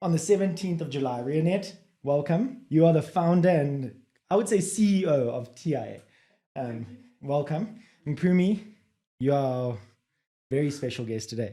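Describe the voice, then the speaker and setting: This man has a fairly high pitch, a dark, mellow tone, and a somewhat breathy quality, with lively intonation. He moves at a moderate pace, broken by long, frequent pauses. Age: 30s. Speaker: podcast host. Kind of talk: podcast interview. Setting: studio.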